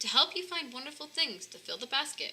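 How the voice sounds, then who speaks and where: A woman does a put-on character voice, pitched high. She talks at a fairly quick pace. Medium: read story. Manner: gentle.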